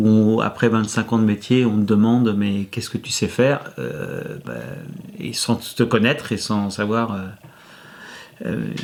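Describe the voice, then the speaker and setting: At a very slow pace, a man with fairly low pitch speaks in fairly even intonation, with big swings in loudness. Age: 50s. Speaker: former IT engineer who changed life. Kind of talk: testimony interview. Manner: hesitant, many fillers and repetitions.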